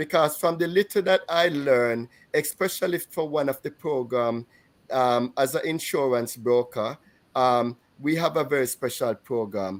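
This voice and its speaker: With a Jamaican accent, a man talks at a moderate pace and fairly high pitch with ordinary pitch variation, on a very clean recording with a silent background. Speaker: podcast co-host and insurance broker. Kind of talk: casual panel chat. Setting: livestream. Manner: halting, many fillers.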